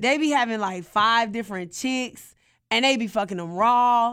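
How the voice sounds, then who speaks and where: A loud woman with a bright, sharp tone and an American accent, speaking at a fairly slow pace, on a very clean recording with a silent background. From US South. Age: 30s. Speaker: podcast guest. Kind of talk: personal storytelling.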